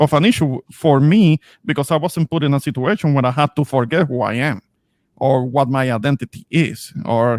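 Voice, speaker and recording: In a very clean recording with a silent background, a man with a strong Spanish accent speaks at a moderate pace, his fairly high pitch showing ordinary variation. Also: dry, close sound with no echo. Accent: thick Spanish. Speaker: streamer. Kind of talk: casual discussion. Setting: live stream. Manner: halting.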